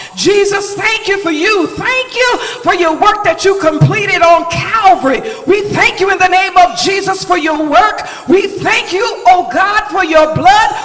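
This man's pitch is extremely high. His pitch variation is ordinary. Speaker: church leader giving opening prayer. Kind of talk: fervent charismatic prayer. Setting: church. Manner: fervent, exclamatory. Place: church.

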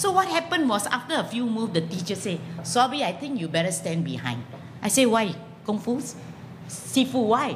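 A woman talks at a fairly quick pace with very wide pitch swings. Light background noise can be heard. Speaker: comedian, former lecturer. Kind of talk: stand-up comedy. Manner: animated, self-deprecating. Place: stage.

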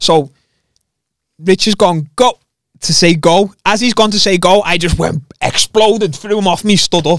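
With a high pitch, a man talks at a moderate pace in a dry sound with no echo and a quiet background. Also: ordinary pitch variation. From England. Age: 20s. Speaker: MMA fighter; podcast guest. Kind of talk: casual chat. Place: studio. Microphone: studio mic.

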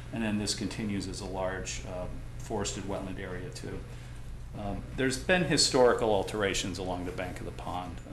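Over noticeable background noise, a man with a very deep, low voice talks at a fairly quick pace, his pitch swinging very widely. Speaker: environmental consultant. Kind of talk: technical presentation at public hearing. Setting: meeting room with microphones and audience. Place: meeting room. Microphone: camera far.

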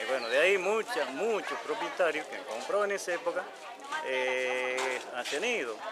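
A man talks at a fairly high pitch with very wide pitch swings. Loud background noise runs behind him. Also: moderate pace. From Argentina. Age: 60s. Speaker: resident in a land dispute. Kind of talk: interview. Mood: aggrieved, explaining a conflict. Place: street.

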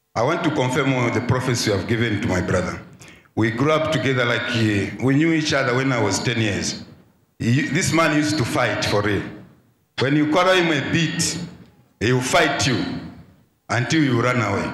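In a room with audible echo, a man speaks at a moderate pace with very even loudness and long, frequent pauses. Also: ordinary pitch variation. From Zambia. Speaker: church member. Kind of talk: testimony. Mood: earnest, slightly amused. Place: church. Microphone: handheld.

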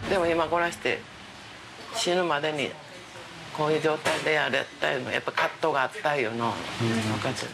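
A woman with a Kansai accent talks at a fairly quick pace in a very deep, low pitch, with ordinary pitch variation and noticeable background noise. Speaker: former volleyball player. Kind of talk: interview answer. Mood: reflective, earnest. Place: home room.

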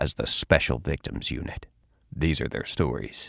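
At a moderate pace, a man uses a serious, dramatic tone with vocal fry, recorded with a dry sound, no echo and a quiet background. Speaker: voice actor. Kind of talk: TV show opening narration. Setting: studio. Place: booth.

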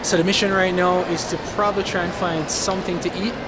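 Over loud background noise, a man with a Jamaican accent talks fast in a high pitch with little pitch movement.

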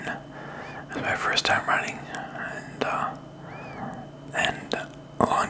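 A man whispering. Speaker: vlogger. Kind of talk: casual vlog chat. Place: home room. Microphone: studio mic.

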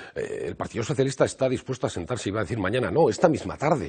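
His voice carries vocal fry as the man speaks fairly quickly. Nothing much stirs in the background. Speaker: party politician. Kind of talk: live TV interview answer. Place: office. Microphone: lapel.

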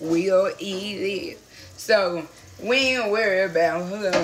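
With ordinary pitch variation, a woman talks over faint background music. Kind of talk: casual vlog chat. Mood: relaxed, playful. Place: kitchen. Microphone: phone near.

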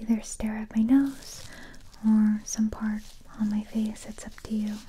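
Somewhat breathy and dark, mellow in tone, a woman's voice moves at a fairly slow pace. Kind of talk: soft-spoken ASMR roleplay. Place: home room.

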